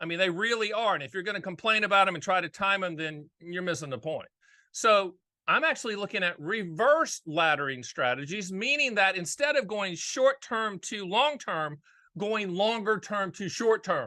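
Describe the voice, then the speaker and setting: Against a quiet background, a man with an American accent projects a raised, high-pitched voice with a bright, sharp tone, lively intonation and a moderate pace. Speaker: annuity and finance commentator.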